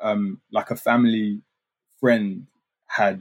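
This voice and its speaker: A man is speaking. He has a London accent. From London (Hackney, East then North London). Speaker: artist. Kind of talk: casual chat.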